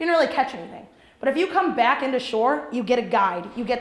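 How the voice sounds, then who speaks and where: A loud voice with lively intonation comes through noticeable background noise and audible room echo. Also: woman. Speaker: entrepreneur and business coach. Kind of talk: workshop talk. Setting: training program with live audience. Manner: fast.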